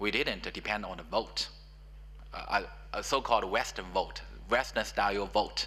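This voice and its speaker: A man talks with a Chinese accent. His pace is moderate. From China. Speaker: professor. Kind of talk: panel discussion. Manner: halting.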